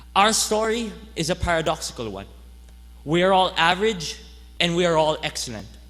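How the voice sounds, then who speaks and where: A man's high-pitched voice at a fairly quick pace, broken by long, frequent pauses, with audible room echo. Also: lively intonation. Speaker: graduating student speaker. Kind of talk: commencement speech. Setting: stage with audience.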